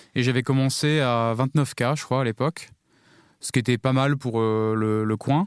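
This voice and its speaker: A man with an ordinary speaking voice at a moderate pace, fairly even intonation, dry, close sound with no echo, and a very clean recording with a silent background. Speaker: backend developer. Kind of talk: podcast panel discussion.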